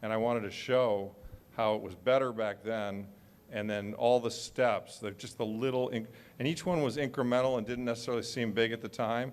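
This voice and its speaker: A man with an American accent has a plain, everyday voice at a medium pitch. He speaks at a fairly quick pace with fairly even intonation. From United States. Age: 60s. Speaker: author and panelist. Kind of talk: panel discussion.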